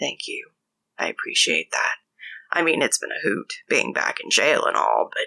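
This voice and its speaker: Putting on a soft-spoken, raspy character voice at an extremely high pitch, a woman speaks at a moderate pace in a dry, close sound with no echo. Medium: read story. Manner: soft, weak-voiced.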